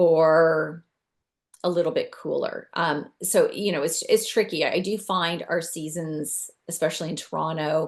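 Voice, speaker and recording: A plain, everyday voice speaks at a fairly slow pace with fairly even intonation. The background is quiet. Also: woman, fairly low pitch for a woman. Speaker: decluttering and downsizing expert. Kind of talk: webinar presentation.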